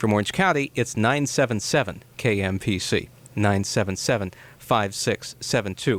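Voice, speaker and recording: In an unremarkable speaking voice, a man talks at a moderate pace with a fairly low pitch, ordinary pitch variation and very even loudness. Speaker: radio interviewer, show host. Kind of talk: radio host introduction and interview.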